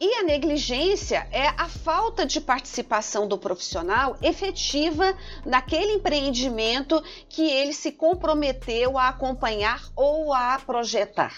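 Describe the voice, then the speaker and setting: Her voice high and her pitch swinging very widely, a woman talks at a fairly slow pace. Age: 50s. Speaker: engineering professor. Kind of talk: podcast interview. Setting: studio.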